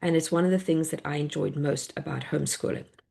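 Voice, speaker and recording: In a South African accent, a woman talks at a fairly quick pace. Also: quiet background. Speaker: homeschool educator and workshop presenter. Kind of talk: online workshop presentation.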